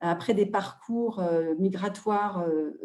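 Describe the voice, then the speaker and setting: Delivery at a very slow pace, with fairly even intonation and a dark, mellow tone. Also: woman. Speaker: NGO president and advocate. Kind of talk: webinar talk. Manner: hesitant, many fillers.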